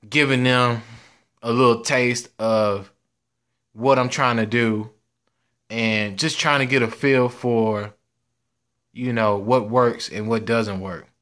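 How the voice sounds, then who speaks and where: A man talks at a very slow pace, leaving long, frequent pauses. His intonation stays fairly even against a quiet background. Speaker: sports channel creator. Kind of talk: casual vlog chat. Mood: grateful, relaxed. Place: home room. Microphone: phone near.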